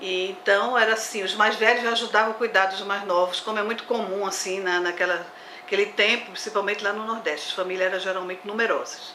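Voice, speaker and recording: Amid noticeable background noise and audible room echo, a woman with a Pernambuco accent and medium pitch talks at a very fast pace in a monotone, flat way. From Brazil, Olinda, Pernambuco. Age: 60s. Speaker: botanist. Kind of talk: interview.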